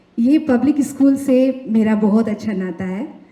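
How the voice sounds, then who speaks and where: Noticeable noise sits behind a woman whose fairly high pitch shows ordinary variation. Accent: Nepali. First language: Nepali (speaking Hindi). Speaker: singer and songwriter. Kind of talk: award acceptance speech.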